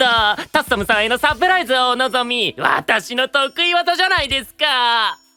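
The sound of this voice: In a cartoonish character voice, a man speaks at an extremely high pitch with big swings, a bright, sharp, clear and smooth tone, at a moderate pace.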